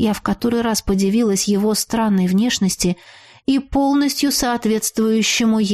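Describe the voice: Plain reading aloud, pitch varying in an ordinary way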